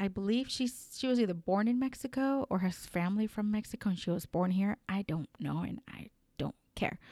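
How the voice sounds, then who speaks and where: An animated woman with a Spanish accent talks at a moderate pace in a dry, close sound with no echo. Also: very clean recording, silent background. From Colombia. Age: 30s. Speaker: podcast host. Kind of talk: unscripted solo commentary. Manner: halting, many fillers.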